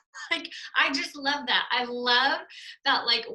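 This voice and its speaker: Music plays in the background as a woman speaks. Her pace is moderate and her pitch varies in an ordinary way. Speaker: network marketer. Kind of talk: testimony. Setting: video call.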